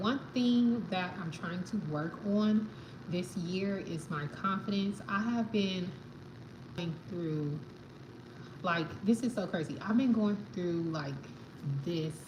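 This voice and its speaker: A woman with an American accent speaks at a fairly slow pace, with audible room echo. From New York, the Bronx. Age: 30s. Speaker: livestreamer. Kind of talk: casual chat. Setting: live stream at home. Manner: halting.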